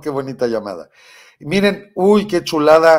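Over a quiet background, a man talks at a fairly slow pace with ordinary pitch variation. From Mexico, Michoacán. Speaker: political commentary show host. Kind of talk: live political commentary. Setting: studio. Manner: animated. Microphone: webcam.

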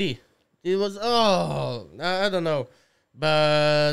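An Eastern European accent at a very slow pace against a quiet background. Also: man. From Slovakia. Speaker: podcast guest. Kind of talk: casual, profane, non-native English. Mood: relaxed, joking. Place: studio. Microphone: studio mic.

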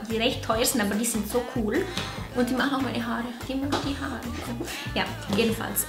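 A woman's voice over clear background music. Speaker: beauty vlogger. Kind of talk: casual vlog chat. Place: home room.

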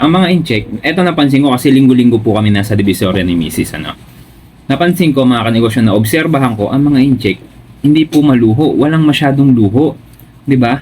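This man's medium-pitched voice moves very fast with lively intonation. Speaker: business vlogger. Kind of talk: casual chat.

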